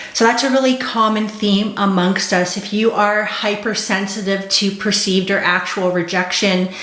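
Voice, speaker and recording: Flat, monotone speech from a medium-pitched woman with hardly any pauses, amid noticeable background noise and audible room echo. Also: moderate pace. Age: 40s. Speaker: ADHD coach. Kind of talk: vlog monologue.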